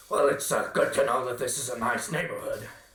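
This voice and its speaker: A man does a raspy, cartoonish character voice at a fairly quick pace. There is a slight echo. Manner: polite, hesitant.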